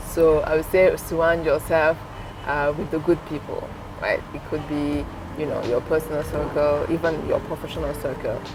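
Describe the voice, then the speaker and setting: A woman talks at a moderate pace with a French accent. Noticeable background noise is present. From Senegal. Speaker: entrepreneur. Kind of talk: interview.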